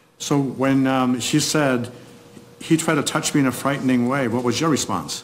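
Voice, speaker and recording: Over noticeable background noise, a man of medium pitch speaks at a moderate pace with fairly even intonation and very even loudness. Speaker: defense attorney. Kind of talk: courtroom cross-examination and argument. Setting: courtroom.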